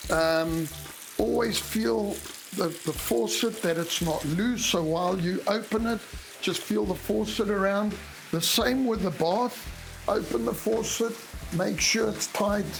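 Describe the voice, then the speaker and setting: With music in the background and audible room echo, the voice moves at a fairly slow pace with very even loudness and ordinary pitch variation. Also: man, high pitch for a man. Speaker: home inspector. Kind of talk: tutorial. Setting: in a house bathroom. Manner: casual, with frequent hesitations.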